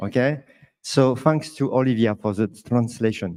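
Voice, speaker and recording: A man's dark, mellow voice with a French accent and ordinary pitch variation. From France. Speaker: management consultant. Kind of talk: panel discussion. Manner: halting.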